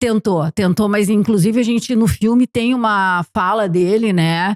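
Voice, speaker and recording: Here a woman talks in a normal speaking voice at medium pitch, with ordinary pitch variation and very even loudness. She goes at a fairly slow pace, and the sound is dry and close with no echo. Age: 60s. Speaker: documentary filmmaker. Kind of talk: podcast interview.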